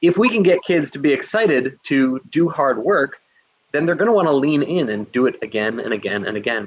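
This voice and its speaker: A man with a New Jersey accent, fairly high in pitch and animated, with very wide pitch swings at a fairly quick pace. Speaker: teacher and instructional coach. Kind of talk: webinar presentation. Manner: fast.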